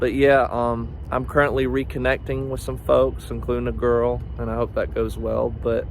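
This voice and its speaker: The speech moves at a moderate pace with hardly any pauses, in a slight Southern US accent. Audible room echo and noticeable background noise are present. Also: man. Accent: slight Southern twang. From US South, northeast Georgia. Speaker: student vlogger. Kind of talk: personal video diary. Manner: halting, many fillers.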